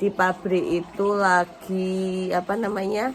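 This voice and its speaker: Noticeable background noise is present. A woman is talking. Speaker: vlogger, factory worker and housewife. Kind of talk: casual vlog.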